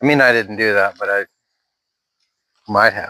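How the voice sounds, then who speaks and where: Here a man talks at a moderate pace in a bright, sharp tone. The sound is dry and close, with no echo. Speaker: YouTuber doing a product review. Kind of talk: casual hands-on review vlog. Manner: casual, rambling with fillers; not loud, not yelling.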